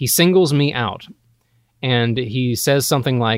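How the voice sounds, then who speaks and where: A man talks with an American accent. The sound is dry and close, with no echo. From Georgia, US South. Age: 20s. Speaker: actor. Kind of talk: casual chat. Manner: halting, repeats words.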